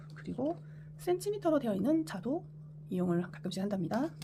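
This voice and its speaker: A woman's fairly low voice at a fairly quick pace with lively intonation. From Korea, Busan. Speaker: sewing tutorial creator. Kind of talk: tutorial. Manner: halting, self-correcting.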